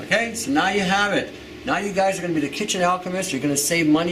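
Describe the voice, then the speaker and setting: Very fast talk from a man, room echo audible and background noise noticeable. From Canada. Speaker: herbalist. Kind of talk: tutorial.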